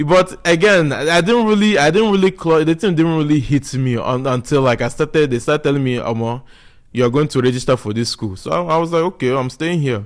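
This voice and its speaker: The speech comes at a very fast pace with lively intonation. It carries a strong southeastern Nigerian accent. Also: man, fairly high pitch for a man. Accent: Nigerian (Igbo) accent, strong. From Nigeria (Igbo, raised there from age 7). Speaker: podcast guest. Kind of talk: casual chat.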